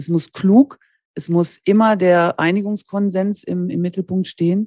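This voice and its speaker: Her delivery moves at a moderate speed. Everything sounds dry and near the mic, without any echo. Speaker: master dental technician and lab owner. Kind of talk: interview conversation. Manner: cheerful, smiling tone.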